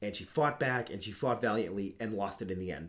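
A man's animated tone with ordinary pitch variation. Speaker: podcast host. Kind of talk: casual chat.

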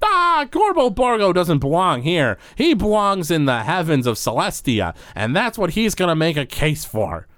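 Putting on a gruff character voice pitched high, a man speaks at a moderate pace with hardly any pauses. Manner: gruff, grumpy, refers to himself in third person.

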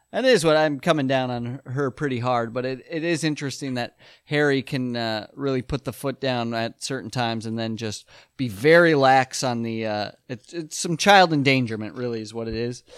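A man speaks at a moderate pace in an unremarkable speaking voice, with medium pitch, ordinary pitch variation, and a very clean recording over a silent background. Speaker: podcast co-host. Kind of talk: casual chat.

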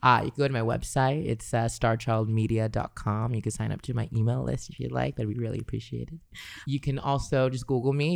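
With a Californian accent, a man talks fairly quickly at a medium pitch with ordinary pitch variation. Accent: Californian American. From Los Angeles, California. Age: 20s. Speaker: singer. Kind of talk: casual chat. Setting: studio.

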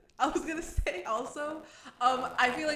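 A woman with an American accent and ordinary pitch variation, amid noticeable background noise and audible room echo. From New England, US. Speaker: podcast co-host. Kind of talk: casual chat.

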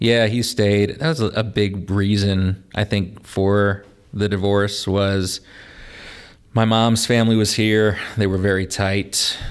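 Speaking very slowly in an American accent, a man holds a fairly low, monotone, flat delivery at very even loudness. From northern Indiana (LaPorte), US Midwest. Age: 30s. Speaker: teacher and rapper. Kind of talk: casual chat.

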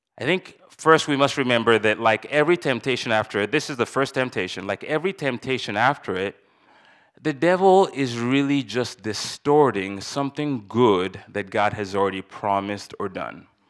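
This man has an unremarkable speaking voice, a medium pitch and a moderate pace, heard in a very clean recording with a silent background. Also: lively intonation. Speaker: church elder. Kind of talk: sermon. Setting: church.

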